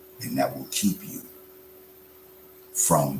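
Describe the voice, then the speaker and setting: A man speaks against noticeable background noise. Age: 60s. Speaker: religious and political speaker. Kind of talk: motivational speech. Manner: animated.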